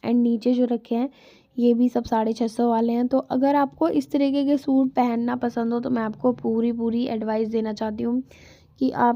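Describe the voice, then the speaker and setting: A woman with a high pitch and a dark, mellow tone speaks with fairly even intonation. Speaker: market vlogger. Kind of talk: vlog voiceover. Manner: casual, chatty.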